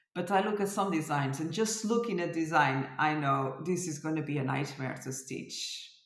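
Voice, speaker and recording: Audible room echo hangs around the woman's voice as her pitch varies in an ordinary way. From France. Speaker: cross stitch designer and vlogger. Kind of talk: casual vlog chat. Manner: hesitant, searching for words.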